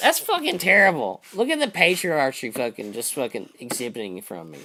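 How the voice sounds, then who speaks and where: A man speaks with a bright, sharp tone at a fairly high pitch. His pitch swings very widely, and vocal fry creeps in. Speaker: livestream host. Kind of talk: casual chat.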